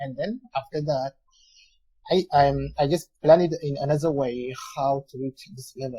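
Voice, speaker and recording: With a dry, close sound and no echo, a man speaks in a somewhat breathy, dark, mellow tone at fairly high pitch, moderate pace and fairly even intonation. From France. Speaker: English learner. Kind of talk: casual chat. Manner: halting, many fillers.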